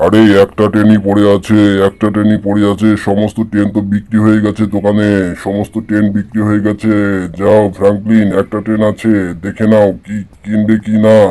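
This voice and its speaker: A man speaks at a moderate pace in a put-on character voice with a fairly low pitch. His intonation stays monotone and flat. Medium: machinima. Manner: casual, repetitive.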